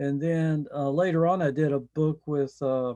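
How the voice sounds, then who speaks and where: The speaker talks fairly slowly with a slight Southern US accent. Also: man. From US South, Johnson City, Tennessee. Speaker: scientific illustrator. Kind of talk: online panel discussion.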